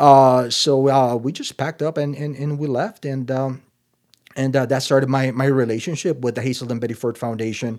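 A man with a Spanish accent in a monotone, flat intonation. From Nicaragua. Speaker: addiction treatment executive. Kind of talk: interview. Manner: halting, many fillers.

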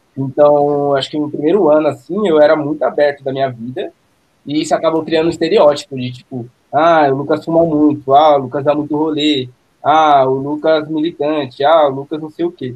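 The delivery moves at a fairly quick pace. Intonation stays monotone and flat. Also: man, fairly high pitch for a man. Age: 20s. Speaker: art director. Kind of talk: casual chat.

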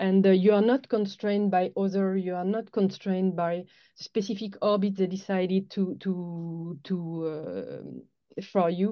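Her medium-pitched voice holds a monotone, flat intonation as the woman speaks at a fairly slow pace. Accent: French. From France. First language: French. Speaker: head of sales at a space launch company. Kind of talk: interview.

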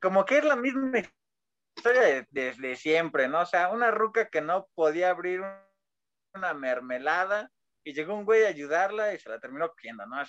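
At a moderate pace, a man talks in a high pitch with very wide pitch swings and big swings in loudness. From rural Mexico. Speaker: podcast co-host. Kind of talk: casual chat.

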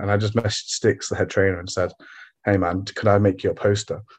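Somewhat breathy and fairly low in pitch, a man with an East Midlands accent speaks in a flat monotone over a quiet background. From England, Derby. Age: 20s. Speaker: former pro wrestler. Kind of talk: casual chat.

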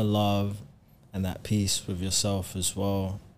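With a London accent, a man with a fairly low pitch speaks at a very slow pace. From South London. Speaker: recording artist. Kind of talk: casual chat.

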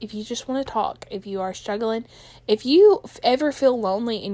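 A woman with a fairly high pitch and lively intonation speaks in an unremarkable speaking voice on a very clean recording with a silent background. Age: 20s. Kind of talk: personal testimony vlog. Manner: casual, chatty with fillers.

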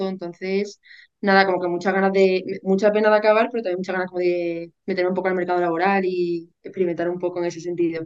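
A woman talks at a very fast pace with medium pitch and monotone, flat intonation. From Spain, Seville. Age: 20s. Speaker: university student sharing eating disorder recovery. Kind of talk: testimony.

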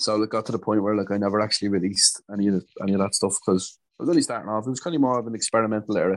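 A man with a Dublin accent speaks very fast, with hardly any pauses. His pitch is fairly low and his intonation fairly even. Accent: Dublin Irish. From Dublin, Ireland. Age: 20s. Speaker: DJ and music producer. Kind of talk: casual interview. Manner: hesitant, many fillers and repetitions.

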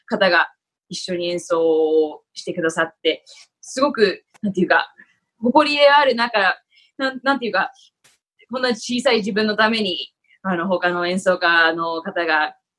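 A woman's plain, everyday voice at a fairly slow pace with lively intonation. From Japan (Tokyo). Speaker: actor and former flutist. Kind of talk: interview.

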